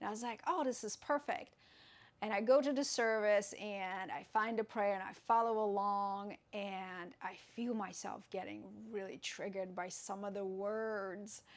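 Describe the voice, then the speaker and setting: At a moderate pace and with ordinary pitch variation, the voice comes through in a very clean recording with a silent background. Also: woman, medium pitch for a woman. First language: Russian. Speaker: yoga teacher. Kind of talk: tutorial. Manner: halting.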